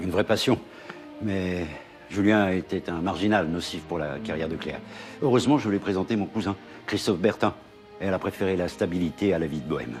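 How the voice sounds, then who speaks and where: Music plays in the background while someone speaks at a fairly quick pace. There are long, frequent pauses and ordinary pitch variation. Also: man, very deep, low pitch for a man. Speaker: actor. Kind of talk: TV drama scene.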